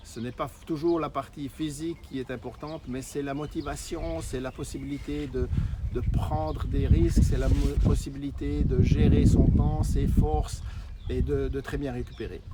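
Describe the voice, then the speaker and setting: A man speaks with big swings in loudness. Noticeable background noise sits behind him. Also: fairly slow pace. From Switzerland. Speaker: network marketer. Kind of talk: sales pitch. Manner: halting, frequent hesitations.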